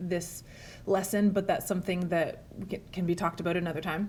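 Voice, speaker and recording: A woman talks at a fairly quick pace. Her voice is somewhat breathy, with a dark, mellow tone. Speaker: French teacher. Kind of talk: language lesson to camera.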